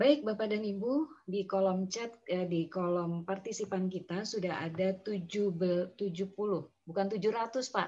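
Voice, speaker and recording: A woman talks at a fairly slow pace and a medium pitch. Her tone is dark and mellow, with ordinary pitch variation. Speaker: meeting moderator. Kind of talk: online meeting moderation. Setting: video call. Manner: formal. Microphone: too quiet.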